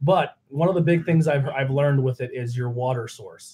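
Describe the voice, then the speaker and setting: At a fairly quick pace, a man talks in an ordinary speaking voice with a fairly high pitch and fairly even intonation. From Pennsylvania, US. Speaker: podcast host. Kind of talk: casual chat.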